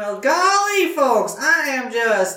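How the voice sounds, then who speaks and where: A female-sounding, put-on character voice with very wide pitch swings. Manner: exaggerated, jovial.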